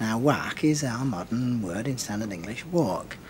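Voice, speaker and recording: A man's moderately paced speech with lively intonation over noticeable background noise. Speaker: linguist. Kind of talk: expert explanation in TV interview.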